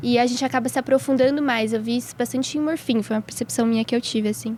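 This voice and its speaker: A woman speaks at a very fast pace in a high pitch with fairly even intonation. Noticeable background noise runs underneath. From São Paulo state interior (Atibaia), Brazil. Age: 20s. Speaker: medical student. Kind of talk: casual chat.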